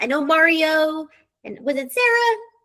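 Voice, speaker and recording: A woman projects a raised voice with a bright, sharp tone. Her pitch swings very widely. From military brat, moved around. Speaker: real estate sales director. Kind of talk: live webinar presentation. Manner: fast.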